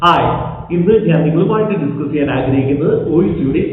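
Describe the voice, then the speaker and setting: A man's fairly high voice, with ordinary pitch variation, comes through noticeable background noise and audible echo from the room. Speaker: language teacher. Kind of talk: sales pitch; tutorial.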